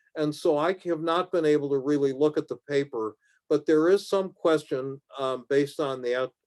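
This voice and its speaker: A man at a fairly high pitch and moderate pace, in a very clean recording with a silent background and a dry, close sound with no echo. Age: 60s. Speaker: physician presenting clinical trial data. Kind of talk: lecture. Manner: halting with many fillers.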